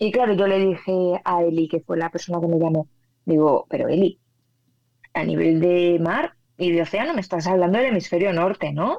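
With ordinary pitch variation, a normal speaking voice proceeds at a moderate pace. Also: woman. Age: 30s. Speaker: physicist and meteorologist. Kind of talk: interview.

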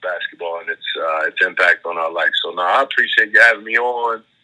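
Man's fairly quick speech in a dry, close sound with no echo. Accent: Baltimore. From Baltimore, Maryland (South Baltimore). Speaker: high school basketball coach. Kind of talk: casual interview.

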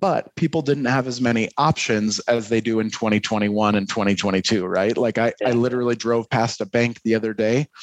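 A man with an American accent speaks at a moderate pace and medium pitch, his intonation fairly even, his loudness very even and his pauses scarce, in a dry, close recording with no echo. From US Midwest, Detroit. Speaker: marketing executive and adjunct professor. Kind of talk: casual interview. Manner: halting, many repeated words.

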